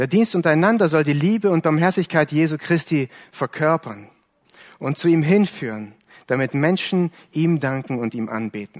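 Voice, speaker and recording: A man with a plain, everyday voice, fairly high pitch, lively intonation and a moderate pace, in a dry, close sound with no echo. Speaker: preacher. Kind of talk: sermon, earnest preaching to a congregation, explaining a Bible text. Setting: church. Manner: earnest, measured and warm, pastoral, with some self-correcting repetitions.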